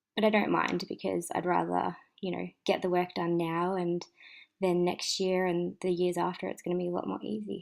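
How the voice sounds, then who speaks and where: In a very clean recording with a silent background, a woman speaks with an Australian accent at a moderate pace. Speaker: planner vlogger. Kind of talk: casual chat. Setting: at home. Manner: soft-spoken.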